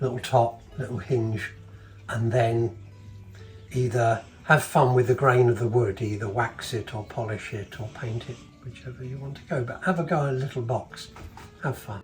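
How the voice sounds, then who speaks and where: With music in the background, a man speaks in a relaxed tone at medium pitch and a moderate pace, his intonation fairly even but his loudness swinging widely. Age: 70s. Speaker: retired woodworker. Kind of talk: interview answer. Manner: relaxed, hesitant.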